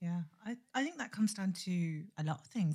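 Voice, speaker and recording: This woman's voice is fairly low in pitch, somewhat breathy, and dark and mellow in tone. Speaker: podcast co-host. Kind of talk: podcast interview.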